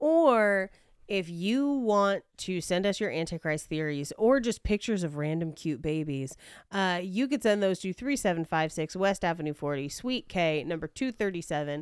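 A normal speaking voice with lively intonation at a moderate pace, in a very clean recording with a silent background. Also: woman, medium pitch for a woman. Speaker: podcast co-host and comedian. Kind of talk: casual chat.

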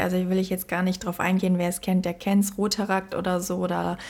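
This is a woman. Her voice sits at a medium pitch. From Germany. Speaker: podcast co-host. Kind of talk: casual chat.

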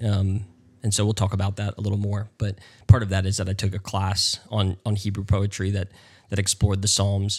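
A man with an American accent speaks fairly quickly in a somewhat breathy, fairly low voice. His intonation is flat and monotone, and the recording is very clean with a silent background. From US South, North Carolina. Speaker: pastor. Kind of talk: casual interview.

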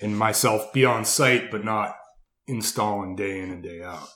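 A man with an unremarkable speaking voice talks fairly slowly, his fairly low pitch held in fairly even intonation. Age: 30s. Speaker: landscape contractor. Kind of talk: casual interview chat.

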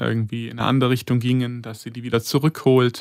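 A man speaks in a flat monotone. The recording is very clean, with a silent background and a dry, close sound with no echo. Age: 30s. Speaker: intensive care nurse. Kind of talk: interview.

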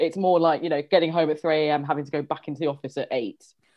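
In a London accent, a woman with a fairly low pitch talks at a very fast pace. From London, England. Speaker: history teacher. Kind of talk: interview.

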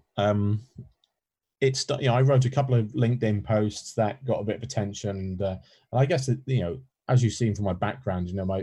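Speaking at a fairly quick pace, a man has a fairly low pitch. His voice is somewhat breathy with a dark, mellow tone. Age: 30s. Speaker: employee experience specialist and author. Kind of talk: casual interview. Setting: remote call from home spare room.

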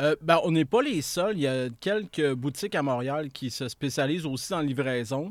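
With hardly any pauses, a man speaks at a fairly high pitch on a very clean recording with a silent background. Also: ordinary pitch variation, moderate pace. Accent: Quebec. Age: 40s. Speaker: entrepreneur. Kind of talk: casual interview.

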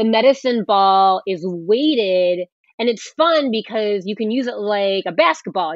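A woman with a normal speaking voice talks at a moderate pace and medium pitch with lively intonation. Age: 40s. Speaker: fitness trainer. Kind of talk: interview.

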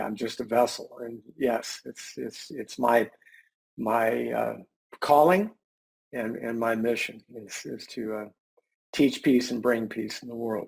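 A man speaks at a fairly slow pace in a medium pitch with ordinary pitch variation. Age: middle-aged. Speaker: mediator and mindfulness teacher. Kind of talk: panel discussion.

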